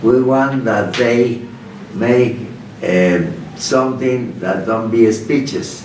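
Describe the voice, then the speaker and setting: Speaking very slowly with a Spanish accent, a man at a medium pitch is heard with audible room echo and noticeable background noise. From Mexico, Guanajuato. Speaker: lawyer. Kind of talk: interview. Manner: halting.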